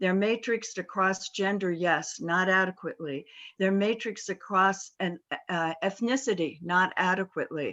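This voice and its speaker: A woman speaks in an ordinary speaking voice at a moderate pace. Her pitch is medium, with ordinary pitch variation. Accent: American. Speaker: corporate board director. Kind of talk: panel talk.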